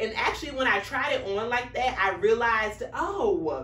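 A woman at a moderate pace, with audible room echo. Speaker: fashion vlogger. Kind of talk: casual vlog chat. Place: home room. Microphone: camera far.

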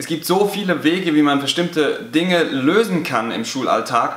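A man speaks with ordinary pitch variation, and room echo can be heard. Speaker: teacher. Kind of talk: educational vlog talk. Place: classroom.

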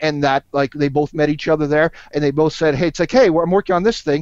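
Against a quiet background, a man talks with hardly any pauses and ordinary pitch variation in a dry sound with no echo. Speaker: podcast guest. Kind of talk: casual podcast discussion. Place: home room. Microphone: headset.

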